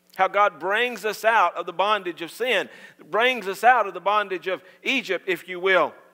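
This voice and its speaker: A man's raised, projected voice carries a bright, sharp tone and fairly even intonation over a quiet background. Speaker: pastor. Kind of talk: sermon. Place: church.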